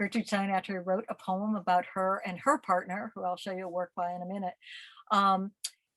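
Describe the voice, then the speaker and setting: In a dry, close sound with no echo, a woman talks at a moderate pace and medium pitch in a flat monotone. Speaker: museum curator giving art talk. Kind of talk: lecture. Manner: halting, many fillers.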